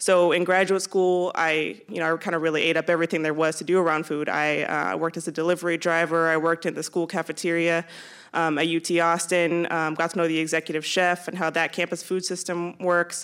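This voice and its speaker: A woman in a Californian accent speaks fairly quickly with hardly any pauses and a monotone, flat intonation. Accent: Californian American. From California, San Jose. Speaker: food systems coordinator. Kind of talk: panel discussion. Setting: stage with audience at a high school.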